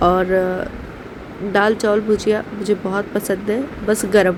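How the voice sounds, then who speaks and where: A woman talks at a very slow pace and a medium pitch, with noticeable background noise behind her. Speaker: vlogger, housewife. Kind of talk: casual vlog narration. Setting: at home.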